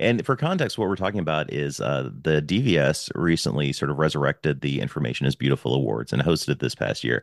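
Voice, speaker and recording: With vocal fry and a very deep, low pitch, a man races along at a very fast pace with lively intonation in a dry, close sound without echo. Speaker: podcast host. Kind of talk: casual chat. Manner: loud.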